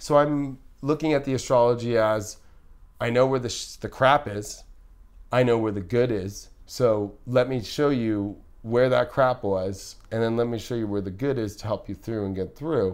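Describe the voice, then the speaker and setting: In a very clean recording with a silent background, a man speaks in a normal speaking voice at a moderate pace, medium in pitch with ordinary pitch variation. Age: 30s. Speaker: astrologer. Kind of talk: casual chat. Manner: casual.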